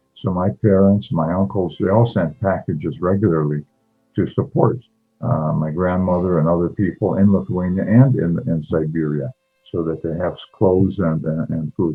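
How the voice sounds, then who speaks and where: A man speaks at a moderate pace in a very deep, low voice with ordinary pitch variation, music playing in the background. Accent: Canadian. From Canada, Toronto. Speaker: retired neurologist and artist. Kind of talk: interview. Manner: halting, many repetitions.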